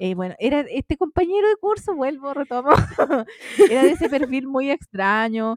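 With a Chilean accent, a woman talks at a high pitch in very wide swings. The sound is dry and close, with no echo. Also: moderate pace. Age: 30s. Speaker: podcast co-host. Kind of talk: casual chat.

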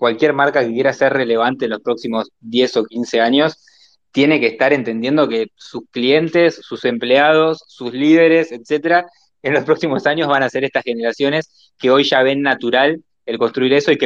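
This man has an unremarkable speaking voice at a fairly high pitch. He keeps a moderate pace and fairly even intonation. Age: 20s. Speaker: marketing agency entrepreneur. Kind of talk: casual panel discussion. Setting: online audio space.

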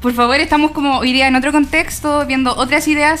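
Fairly quick speech from a woman with a high pitch and ordinary pitch variation, over noticeable background noise. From Chile, Coyhaique (Aysén). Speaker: feminist activist. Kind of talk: radio panel discussion.

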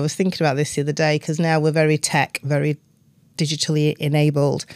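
Someone talks very fast in a South Yorkshire accent, the sound dry and close with no echo. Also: woman. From northern England, Doncaster. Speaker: business executive. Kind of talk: interview.

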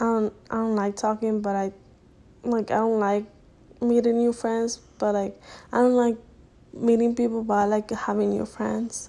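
A woman with a Spanish accent, fairly high pitch and a dark, mellow tone, monotone, flat intonation, moderate pace and long, frequent pauses. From Dominican Republic. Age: young. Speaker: college student podcaster. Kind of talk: casual monologue. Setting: home recording at night. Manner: halting.

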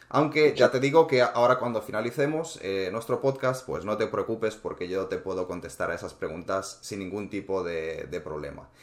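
A man with an ordinary speaking voice talks at a medium pitch and moderate pace, with lively intonation and hardly any pauses. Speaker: precious metals investing podcast host. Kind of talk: casual interview.

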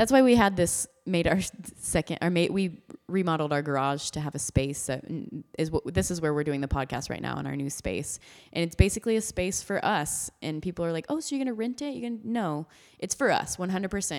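Fairly low for a woman and delivered at a fairly quick pace with lively intonation, a plain, everyday voice with an American accent comes through on a very clean recording with a silent background. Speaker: podcast host. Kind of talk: casual chat.

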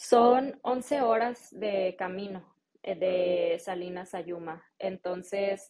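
This woman's voice has a medium pitch. Her intonation is fairly even. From Mexico. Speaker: marketing specialist and English-teaching entrepreneur. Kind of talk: interview.

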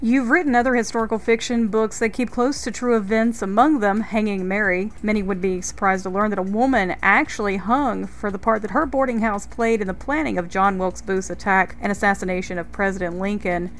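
An ordinary speaking voice comes from a woman with an American accent, medium pitch and ordinary pitch variation. She talks at a fairly quick pace with hardly any pauses. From North Carolina. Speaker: podcast host. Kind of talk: podcast interview and scripted segments.

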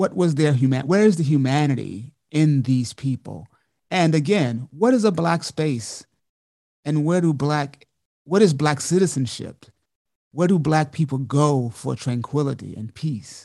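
The speaker has an American accent and a dark, mellow tone. The pace is fairly slow. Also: man, fairly high pitch for a man, ordinary pitch variation. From Montgomery, Alabama (US South). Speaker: dancer, choreographer and professor. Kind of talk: interview.

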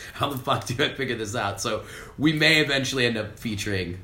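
A man's bright, sharp voice at a very fast pace with lively intonation. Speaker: podcast host. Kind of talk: casual chat.

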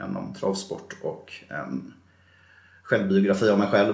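Audible room echo around a man speaking fairly slowly. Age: 40s. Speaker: bus driver and former gambling addict. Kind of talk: interview testimony.

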